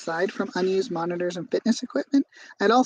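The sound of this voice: Reading in an unforced voice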